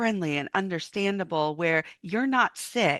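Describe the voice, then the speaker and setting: Using an unremarkable speaking voice, a woman talks at a fairly slow pace with ordinary pitch variation. The sound is dry and close with no echo, over a quiet background. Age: 50s. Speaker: podcast host. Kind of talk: interview.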